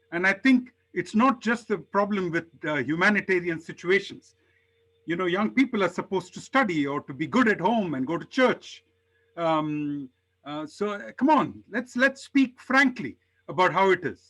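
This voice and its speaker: With a bright, sharp tone and high pitch, a man speaks at a moderate pace, his pitch swinging very widely, in a very clean recording with a silent background. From India, Hyderabad. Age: 60s. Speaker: public health professional. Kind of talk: personal account in workshop discussion.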